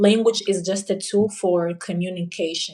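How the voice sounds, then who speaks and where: At a moderate pace, a woman with a Portuguese accent speaks at a medium pitch with fairly even intonation. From Angola. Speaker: polyglot, language learning guest. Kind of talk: casual interview chat on a live stream. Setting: live stream.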